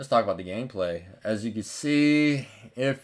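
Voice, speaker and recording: In a relaxed tone with lively intonation, a man talks at a fairly slow pace, and the recording is very clean with a silent background. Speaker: gaming YouTuber. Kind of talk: gameplay commentary. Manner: casual, relaxed; gets hyped at plays.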